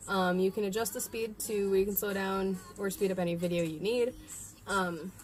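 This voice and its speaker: Fairly even intonation and a moderate pace mark a plain, everyday voice with an American accent. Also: woman, medium pitch for a woman. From central New York. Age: young. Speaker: sign language tutorial creator. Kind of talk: tutorial.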